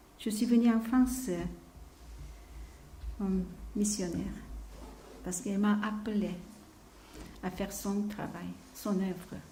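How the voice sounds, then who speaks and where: A woman speaks with a Korean accent at a fairly slow pace, leaving long, frequent pauses. Audible echo from the room surrounds her voice. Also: medium pitch for a woman, fairly even intonation. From South Korea. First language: Korean (speaking French). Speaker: missionary preacher. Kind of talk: sermon. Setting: church. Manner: halting; soft-spoken.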